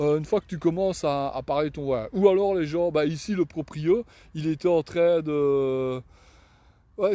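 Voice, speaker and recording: A man talks in a dark, mellow tone with a Belgian accent. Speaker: cyclist vlogger. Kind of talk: casual live vlog. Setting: outdoors. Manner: halting.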